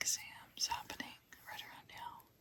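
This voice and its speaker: Someone whispers in a gentle tone. Noticeable background noise sits behind the voice. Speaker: chemistry tutor. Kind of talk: ASMR chemistry tutoring. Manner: whispered, gentle, soft-spoken.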